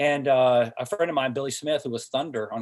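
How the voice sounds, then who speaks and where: This man has a medium pitch and ordinary pitch variation, speaking with an American accent. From US South, Hickory, North Carolina. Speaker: entrepreneur and former TV athlete. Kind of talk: interview podcast. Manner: halting, many fillers.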